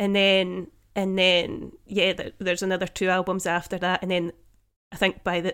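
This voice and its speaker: A woman talks at a moderate pace with a Scottish accent, her pitch medium. The recording is very clean, with a silent background. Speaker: podcast co-host. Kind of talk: casual chat. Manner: melodic.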